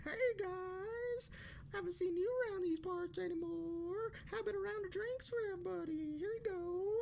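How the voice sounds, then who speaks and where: A squeaky put-on character voice at a moderate pace over clear background noise. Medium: read story. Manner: friendly, upbeat.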